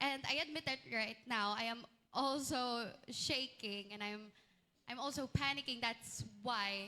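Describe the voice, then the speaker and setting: In a Chinese accent, a woman with a high pitch and a bright, sharp tone speaks at a very slow pace, with ordinary pitch variation. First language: Mandarin (speaking Tagalog). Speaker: student candidate. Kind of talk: answering panel questions. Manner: halting.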